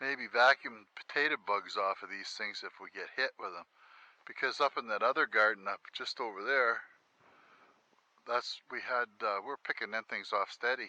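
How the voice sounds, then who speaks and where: Big swings in loudness mark a man's speech at a moderate pace, recorded with a dry, close sound and no echo. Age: 60s. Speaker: homesteader vlogger. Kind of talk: casual walkthrough vlog. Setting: outdoors.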